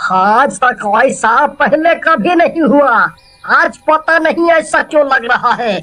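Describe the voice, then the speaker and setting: The cartoonish character voice is high-pitched with a whiny tone. It speaks at a very slow pace. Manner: whiny, rustic.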